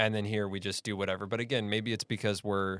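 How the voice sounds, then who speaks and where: In a General American accent, a man talks at a fairly low pitch, the sound dry and close with no echo. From United States. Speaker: podcast host. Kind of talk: casual interview.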